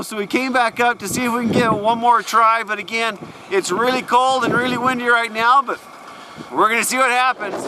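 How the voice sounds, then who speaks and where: The speaker shouts in a raised, projected voice at a fairly quick pace. The intonation is monotone and flat, and there is noticeable background noise. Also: man. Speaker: outdoor video host. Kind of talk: on-location commentary. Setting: outdoors on frozen reservoir. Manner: yelling over wind.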